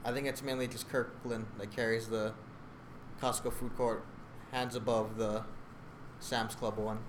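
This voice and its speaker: A man speaks at medium pitch and a fairly slow pace in a monotone, flat intonation, with long, frequent pauses and audible room echo. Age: 20s. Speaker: accounting student. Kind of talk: casual chat.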